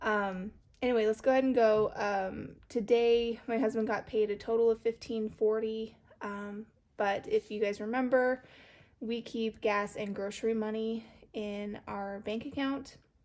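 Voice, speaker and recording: A woman's fairly high voice with an American accent, monotone and flat, at a fairly slow pace. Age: 30s. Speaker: budgeting vlogger. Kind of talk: casual vlog talk. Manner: hesitant, many filler ums.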